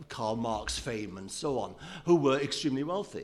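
Speaking at a moderate tempo, a man uses an ordinary speaking voice with normal rises and falls in pitch. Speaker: business journalist.

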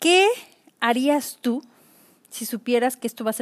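A woman talks at a fairly slow pace. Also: dry, close sound with no echo. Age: 40s. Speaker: podcast host. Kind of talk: solo podcast monologue.

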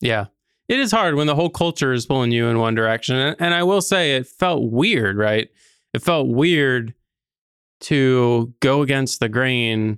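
A man with an ordinary speaking voice talks at a medium pitch and moderate pace. His intonation is lively and his loudness very even. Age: 30s. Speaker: podcast host and property management company CEO. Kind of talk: casual interview conversation.

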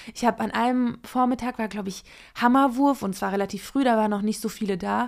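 A woman's ordinary speaking voice, fairly quick, with fairly even intonation on a very clean recording against a silent background. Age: 30s. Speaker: former Olympic sprinter and journalist. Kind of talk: casual chat.

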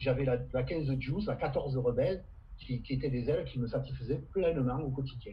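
Audible room echo surrounds a man's medium-pitched voice. He talks at a moderate pace with ordinary pitch variation. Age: 60s. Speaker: veteran windsurfer and kitesurfer. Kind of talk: casual interview.

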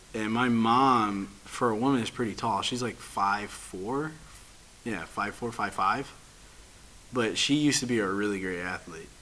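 Noticeable background noise under a man's fairly low, moderately paced voice, its pitch varying in an ordinary way. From Chicago area, US Midwest. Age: 20s. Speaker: podcast host. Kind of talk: casual chat.

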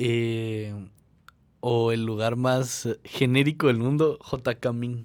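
Speaking at a very slow pace in a monotone, flat intonation, a man is heard in a very clean recording with a silent background. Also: medium pitch for a man. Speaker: podcast co-host. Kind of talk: casual chat.

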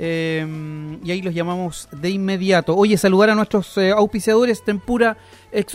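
The man has a high pitch. He speaks at a moderate pace. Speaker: radio host. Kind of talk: radio show with phone interviews.

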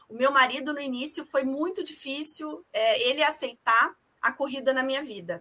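A woman's high, raised, projected voice with a bright, sharp tone, at a moderate pace and with ordinary pitch variation. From Rio de Janeiro, Brazil. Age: 40s. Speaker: amateur runner and mother. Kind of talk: podcast interview.

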